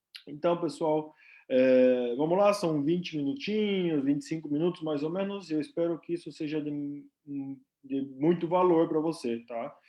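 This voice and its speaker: This man's pitch sits fairly high, with ordinary variation. He speaks at a moderate pace. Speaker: nurse and company representative. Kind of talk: live stream presentation. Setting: live stream. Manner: casual, filler-heavy.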